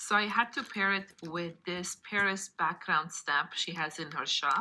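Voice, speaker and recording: A bright, sharp tone with a non-native accent comes through at a fairly slow pace with ordinary pitch variation. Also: woman, fairly low pitch for a woman. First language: not English. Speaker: card-making crafter. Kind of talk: craft tutorial. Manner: casual, conversational.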